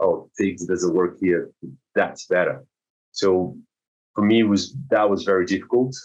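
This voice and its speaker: A man with a Brazilian accent talks at a fairly slow pace with long, frequent pauses and very even loudness. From South Brazil. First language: Portuguese. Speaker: swimming teacher. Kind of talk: podcast interview. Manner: halting, many repetitions and fillers.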